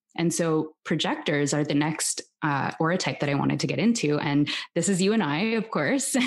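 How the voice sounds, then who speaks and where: A woman with a Canadian accent talks at a moderate pace in a very deep, low voice, her loudness very even and her intonation lively. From Canada, Toronto. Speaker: human design teacher and podcast host. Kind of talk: interview, teaching explanation.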